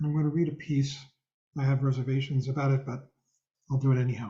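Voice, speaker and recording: Somewhat breathy and fairly high in pitch, a man speaks at a very fast pace. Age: 70s. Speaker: meditation teacher. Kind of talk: dharma talk. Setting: video call.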